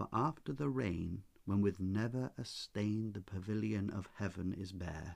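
A soft-spoken man talks in a gentle tone at a fairly low pitch. His pace is fairly slow and his pitch variation ordinary. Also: hardly any pauses. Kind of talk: poetry reading. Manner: soft-spoken, gentle.

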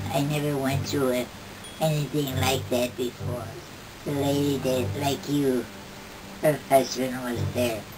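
Noticeable background noise sits under the speech. Long, frequent pauses break up a fairly even intonation. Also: woman, very deep, low pitch for a woman, fairly slow pace. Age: old. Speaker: grandmother telling a story. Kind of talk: interview answer. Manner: casual storytelling. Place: home room. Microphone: camera far.

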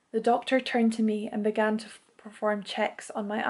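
Unforced voice reading aloud

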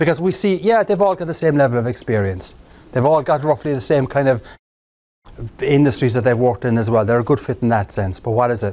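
A man talks at a fairly quick pace with an Irish accent. His intonation is lively. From Ireland. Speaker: keynote speaker. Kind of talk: live presentation to a job club. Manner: humorous. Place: meeting room.

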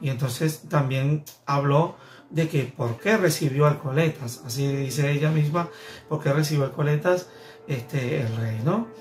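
A man speaking at a fairly slow pace with ordinary pitch variation, faint music in the background. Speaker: vlogger, celebrity news commentator. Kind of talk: casual talk to camera, vlog commentary. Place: home room.

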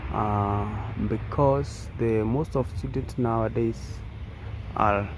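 Noticeable background noise surrounds a man's voice in a dry sound with no echo. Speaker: vlogger. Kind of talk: casual vlog chat. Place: open country. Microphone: phone near.

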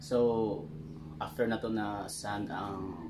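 The delivery is slow, with fairly even intonation. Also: man, fairly low pitch for a man.

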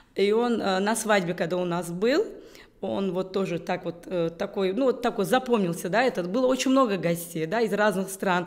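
Against a quiet background, a woman speaks at a moderate pace. Her pitch varies in an ordinary way. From Uzbekistan, Tashkent; Uzbekistan. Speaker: business executive; interview guest. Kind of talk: interview. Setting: video call. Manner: halting. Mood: warm, animated. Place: studio.

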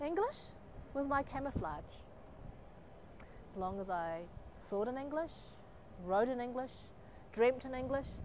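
Over light background noise, a woman with a New Zealand accent speaks at a moderate pace and a high pitch, her very wide pitch swings broken by long, frequent pauses in a dry sound with no echo. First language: Chinese. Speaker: poet. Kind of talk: poetry performance; spoken word poetry performance. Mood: wry, expressive. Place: street. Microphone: lapel.

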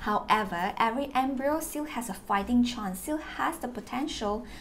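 Over light background noise, a woman sounds somewhat breathy, with ordinary pitch variation. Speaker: fertility vlogger sharing experience. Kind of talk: informative vlog talk. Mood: warm, encouraging. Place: home room.

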